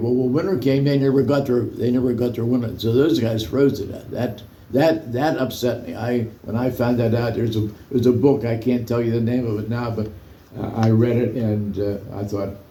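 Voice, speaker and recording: A man talks at a fairly quick pace and medium pitch with ordinary pitch variation. His voice is somewhat breathy, with a dark, mellow tone. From United States. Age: 80s+. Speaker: war veteran. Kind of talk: interview answer.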